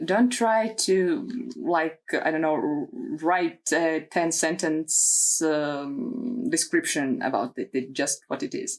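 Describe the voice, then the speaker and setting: Her pace stays very slow throughout. This woman has a non-native accent. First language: not English. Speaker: tarot content creator. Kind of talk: casual video talk. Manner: hesitant, many fillers.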